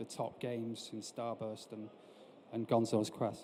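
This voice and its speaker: This is a man with a northern English accent. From northern England. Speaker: industry analyst and company director. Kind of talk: conference presentation. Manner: hesitant, frequent fillers.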